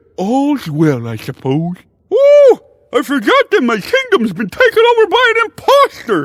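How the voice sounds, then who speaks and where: A man talks at a moderate pace in a put-on character voice. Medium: video game. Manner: airy, theatrical.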